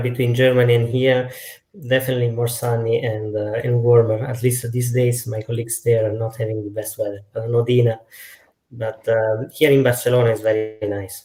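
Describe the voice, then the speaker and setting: Somewhat breathy and at a medium pitch, a man talks at a fairly quick pace with monotone, flat intonation in an Italian accent. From Italy. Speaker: data science lead. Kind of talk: panel discussion.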